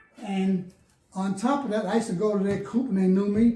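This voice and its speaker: Talking at a very fast pace, a man speaks with a New Jersey accent. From Bayonne, New Jersey. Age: 80s+. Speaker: pigeon racer, veteran. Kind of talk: interview answer.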